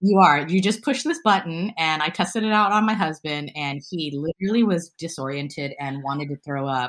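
In a very clean recording with a silent background, a woman with an American accent speaks in a plain, everyday voice. Her pitch is fairly low, her pace fairly quick, with hardly any pauses. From US West Coast, San Francisco. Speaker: self-defense coach. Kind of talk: interview conversation.

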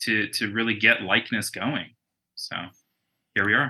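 An American accent marks this man's speech. He has a bright, sharp tone. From Arizona, Tucson. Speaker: filmmaker. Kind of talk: interview.

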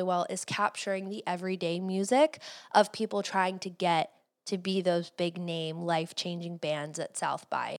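An unremarkable speaking voice at a moderate pace, with a dry, close sound with no echo, on a very clean recording with a silent background. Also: woman. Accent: American. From Cleveland, US Midwest. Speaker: podcast host and entrepreneur. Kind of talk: casual interview.

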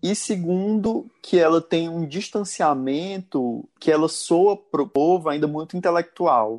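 Speaking at a very slow pace, a high-pitched man uses ordinary pitch variation. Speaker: podcast co-host. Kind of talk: casual chat.

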